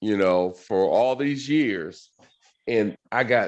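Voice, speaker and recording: A man with an unremarkable speaking voice talks at a fairly slow pace. His intonation is lively. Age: 60s. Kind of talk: casual chat.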